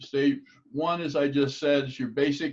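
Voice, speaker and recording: A normal speaking voice from a man, fairly high in pitch, with ordinary pitch variation. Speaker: table tennis coach. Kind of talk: lecture.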